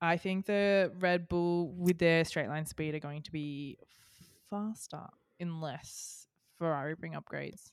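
In a very clean recording with a silent background, a woman speaks at a fairly slow pace and a fairly low pitch. Her intonation is fairly even, while her loudness swings widely. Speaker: podcast host. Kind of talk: casual chat.

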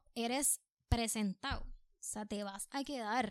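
The speech has ordinary pitch variation on a very clean recording with a silent background. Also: woman. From Puerto Rico. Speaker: artist, painter. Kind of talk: casual chat. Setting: studio.

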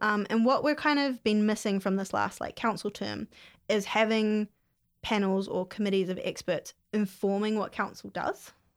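With a New Zealand accent, a woman speaks at a fairly high pitch with ordinary pitch variation. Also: moderate pace. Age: 20s. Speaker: mayoral candidate. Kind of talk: casual interview.

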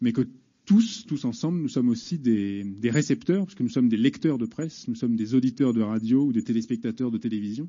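Delivered at a fairly quick pace, an unremarkable speaking voice carries lively intonation. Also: man, medium pitch for a man. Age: 40s. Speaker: journalist. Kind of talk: public debate. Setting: prison hall with audience.

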